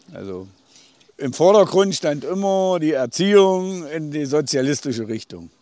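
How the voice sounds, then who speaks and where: With a plain, everyday voice, a man talks at a fairly slow pace, his pitch fairly high and his loudness swinging widely. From Thuringia, Eichsfeld border area. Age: 50s. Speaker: village mayor, eyewitness. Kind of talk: interview, recounting memories. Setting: outdoors on a bridge by the river.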